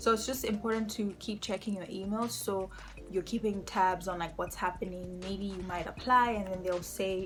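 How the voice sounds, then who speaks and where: It is an ordinary speaking voice at a moderate pace. The intonation stays fairly even. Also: woman, medium pitch for a woman. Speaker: youtuber and international student in Canada. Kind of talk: tutorial. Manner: casual, with frequent um fillers.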